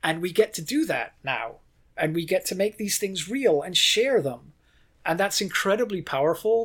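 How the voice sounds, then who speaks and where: A man speaks at a moderate pace in a high voice with very wide pitch swings. The recording is very clean, with a silent background. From Ireland. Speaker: video game design director. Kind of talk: interview conversation.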